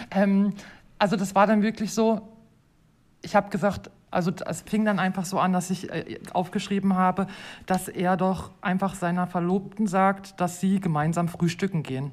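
At a moderate pace, a woman with a medium pitch and a somewhat breathy voice speaks with fairly even intonation in a very clean recording with a silent background. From Germany. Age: 40s. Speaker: hotel host. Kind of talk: casual interview.

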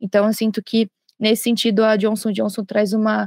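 A woman's fairly high voice with a dark, mellow tone, in a dry, close sound with no echo. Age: 20s. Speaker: junior chemical engineer. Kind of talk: corporate podcast interview.

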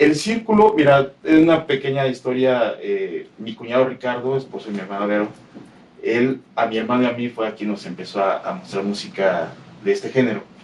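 Lively intonation in a male voice of medium pitch. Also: moderate pace. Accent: Mexican. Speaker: metal podcast producer. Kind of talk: interview. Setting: studio.

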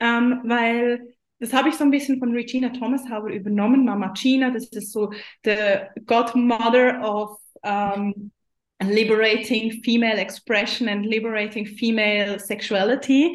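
Speaking fairly slowly with a Swiss German accent, a woman uses a fairly high pitch and fairly even intonation. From Switzerland. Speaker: business mentor for women. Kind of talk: interview.

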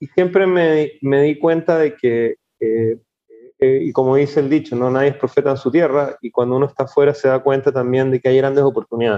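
A normal speaking voice with fairly even intonation at a fairly quick pace. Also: man, fairly high pitch for a man. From Chile. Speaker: startup founder and CEO. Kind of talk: interview, casual conversation.

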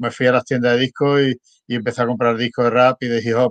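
Close and dry with no echo, a man talks at a fairly quick pace in a medium pitch with monotone, flat intonation over a quiet background. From Spain. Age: 60s. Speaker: former rapper and DJ. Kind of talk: casual interview.

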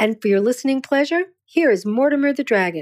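A woman with a normal speaking voice talks at a fairly quick pace with lively intonation. The recording is very clean, with a silent background, and the sound is dry and close with no echo. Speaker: poet. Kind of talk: scripted narration.

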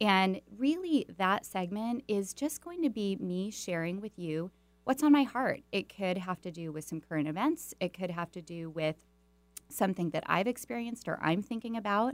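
A woman with a plain, everyday voice, medium in pitch, lively in intonation, at a moderate pace. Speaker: radio host and executive coach. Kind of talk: radio talk show interview. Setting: radio studio, live show. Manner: upbeat, encouraging.

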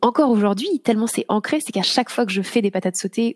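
A somewhat breathy woman's voice, fairly high in pitch with ordinary variation, at a very fast pace in a dry, close sound with no echo. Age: 30s. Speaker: yoga teacher. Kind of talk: casual chat. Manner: halting.

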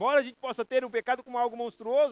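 This man's voice is captured with a dry, close sound and no echo. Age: 50s. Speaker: pastor. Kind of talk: sermon.

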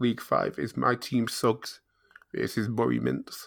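A man talks with a British accent. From Britain. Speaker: podcast host, NFL fan. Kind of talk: casual chat.

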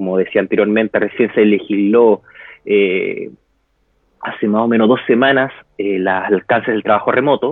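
This man has a plain, everyday voice, fairly low in pitch, with fairly even intonation at a moderate pace. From Chile. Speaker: interviewee on quarantine life. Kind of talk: interview over live video.

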